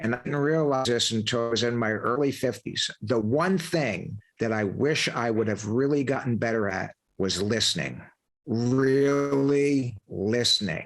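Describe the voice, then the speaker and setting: A man talks in a normal speaking voice at a medium pitch. His pace is fairly slow, with ordinary pitch variation and very even loudness. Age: 60s. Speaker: podcast host, leadership coach, former Marine officer. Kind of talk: interview conversation.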